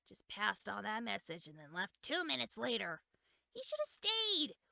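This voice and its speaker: Using a put-on character voice, a woman speaks at a moderate pace at a fairly high pitch. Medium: game stream. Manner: chatty, bossy.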